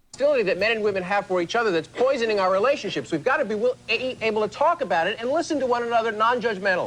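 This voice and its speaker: In a whiny put-on character voice, the speaker rushes at a very fast pace with a fairly high pitch, a whiny tone, and hardly any pauses. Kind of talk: complaining tone. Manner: whiny, complaining.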